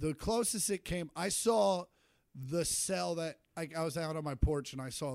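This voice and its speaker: A man with an American accent speaks at a moderate pace in a very clean recording with a silent background. He has a normal speaking voice, fairly high in pitch, with lively intonation. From Kansas (Shawnee, Kansas City suburb). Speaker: stand-up comedian. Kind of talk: casual chat.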